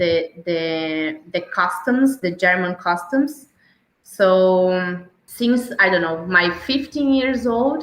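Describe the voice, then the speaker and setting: Very slowly and with lively intonation, a woman speaks at a medium pitch in a Santa Catarina accent. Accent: Brazilian (Santa Catarina). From southern Brazil (Santa Catarina, near Blumenau). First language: Portuguese. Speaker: travel podcast guest. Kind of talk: interview, casual chat. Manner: hesitant, many fillers and repeats.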